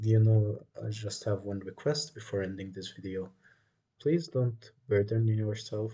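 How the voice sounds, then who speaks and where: Fairly low in pitch, a man speaks very slowly in a dark, mellow tone with fairly even intonation. His voice is somewhat breathy. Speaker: chess teacher. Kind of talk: tutorial. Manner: monotone.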